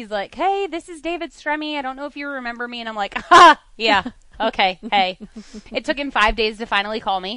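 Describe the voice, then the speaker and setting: In an American accent, a woman with a high pitch and a bright, sharp tone talks at a fairly quick pace with lively intonation and big swings in loudness. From central Pennsylvania. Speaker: racing team co-owner, driver's wife. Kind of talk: casual interview chat.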